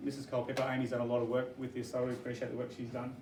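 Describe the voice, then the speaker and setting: Through noticeable background noise and audible room echo, a man with a medium pitch speaks with an Australian accent. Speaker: teacher presenting to parents. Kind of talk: information evening presentation. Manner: fast.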